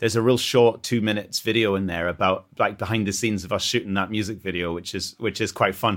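Someone talks at a very fast pace in a northern English accent on a very clean recording with a silent background. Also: man. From northern England. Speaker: band member. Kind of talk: casual chat.

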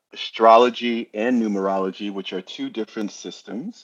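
A man with a New York accent at a fairly slow pace, the sound dry and close with no echo. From New Jersey, lives in New York. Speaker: podcast guest, astro-numerologist.

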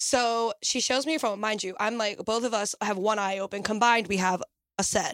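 With an unremarkable speaking voice, a woman talks at a fairly quick pace in a fairly high pitch, keeping her intonation fairly even. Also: dry, close sound with no echo. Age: 20s. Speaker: nanny. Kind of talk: casual chat.

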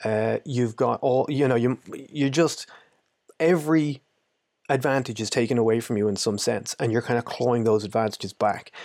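In a very clean recording with a silent background, a man with an Irish accent speaks at a moderate pace in a medium pitch, with ordinary pitch variation and very even loudness. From Ireland. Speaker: anti-poaching trainer. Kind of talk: casual interview.

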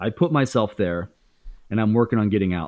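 Talking at a fairly quick pace, a man with an American accent uses a fairly low pitch with ordinary variation. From Indiana, US Midwest. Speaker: YouTuber and former stand-up comedian. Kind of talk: casual interview chat.

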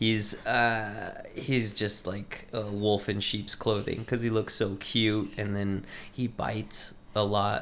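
Speaking very slowly, a man with an American accent keeps a fairly low pitch and a monotone, flat intonation. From Texas, Lubbock area. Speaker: local politician and hot sauce maker. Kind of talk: casual chat.

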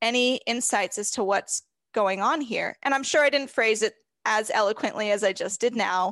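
A woman's unremarkable speaking voice, fairly high in pitch, with an American accent, fairly slow pace and ordinary pitch variation, the sound dry and close with no echo over a quiet background. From California. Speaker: horse trainer and podcaster. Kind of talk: casual interview chat. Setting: video call.

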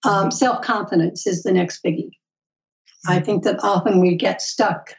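Somewhat breathy, a woman's voice sits at a medium pitch. She talks at a moderate pace. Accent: American. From Alaska, US. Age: 70s. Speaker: author and educator. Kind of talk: interview conversation.

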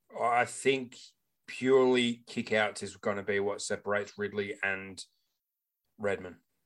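An Australian-accented man with a fairly low voice, fairly even intonation, a fairly slow pace broken by long, frequent pauses, and a very clean recording with a silent background. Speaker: fantasy football podcast co-host. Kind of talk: casual chat. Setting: home recording with new microphone.

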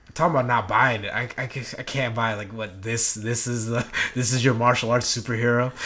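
Over noticeable background noise, a man at medium pitch speaks at a moderate pace with fairly even intonation. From Philippines. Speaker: podcast host. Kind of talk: scripted intro; casual chat. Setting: studio.

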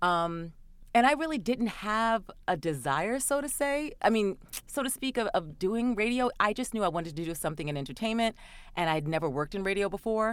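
A woman's fairly high voice at a fairly quick pace with very wide pitch swings, in a very clean recording with a silent background. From New York City, Queens. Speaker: voiceover artist and actor. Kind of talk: interview.

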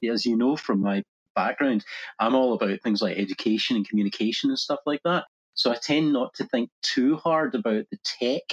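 The voice has a Scottish accent and very wide pitch swings. The pace is fairly quick. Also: man. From Scotland. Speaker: digital media agency founder. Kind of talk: casual interview.

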